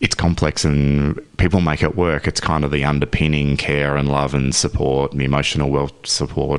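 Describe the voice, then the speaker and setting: A man speaks at a moderate pace in a very deep, low, monotone voice with very even loudness and hardly any pauses. Noticeable background noise runs underneath. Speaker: father, men's health and equality advocate. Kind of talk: radio interview answer. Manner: conversational, reflective.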